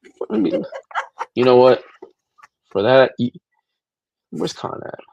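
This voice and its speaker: The man talks at a moderate pace with lively intonation. His pitch sits in the middle range. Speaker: stream panel host. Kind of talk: casual chat. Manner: loud.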